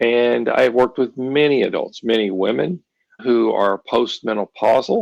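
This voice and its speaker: Recorded with a dry, close sound and no echo, a man speaks at a moderate pace with very even loudness. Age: 60s. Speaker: ADHD therapist and author. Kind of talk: podcast interview.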